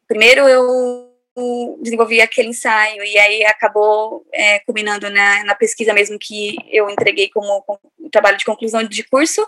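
A dry, close sound with no echo, at a moderate pace with fairly even intonation, over music in the background. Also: woman, fairly high pitch for a woman. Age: 20s. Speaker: cultural project researcher. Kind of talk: podcast interview.

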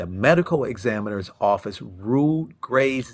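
A medium-pitched man with an American accent, very slow and lively in intonation. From Cleveland, Ohio. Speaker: podcast host. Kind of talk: reading news accounts aloud in podcast discussion.

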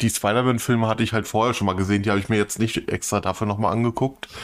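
The speech runs at a very fast pace with fairly even intonation. The recording is very clean, with a silent background. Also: man. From northern Germany. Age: 40s. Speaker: podcast co-host. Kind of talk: casual chat.

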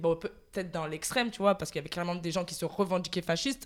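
Speaking very fast with ordinary pitch variation, a woman with a fairly low pitch is heard on a very clean recording with a silent background. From France, Marseille. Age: 20s. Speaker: communications graduate, podcast guest. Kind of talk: casual chat. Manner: hesitant, many fillers, laughs often.

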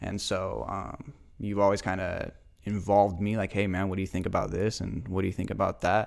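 Delivered in a flat monotone with an American accent, the speech moves at a fairly quick pace with vocal fry, on a very clean recording with a silent background. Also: man, fairly low pitch for a man. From US Pacific Northwest, Spokane area. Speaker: podcast host, clothing brand co-founder. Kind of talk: casual chat.

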